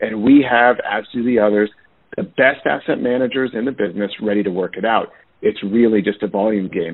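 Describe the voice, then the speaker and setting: His delivery moves along at a fairly quick clip. The man's voice sits at a medium pitch and varies in an ordinary way. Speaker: loan servicing executive. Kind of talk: panel webinar presentation. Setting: conference call. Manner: fast-paced, urgent.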